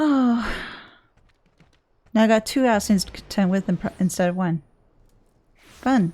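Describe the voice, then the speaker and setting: A dark, mellow, somewhat breathy voice moves at a moderate pace with lively intonation, big swings in loudness, and long, frequent pauses. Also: woman, medium pitch for a woman. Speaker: gaming streamer. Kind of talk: live game commentary.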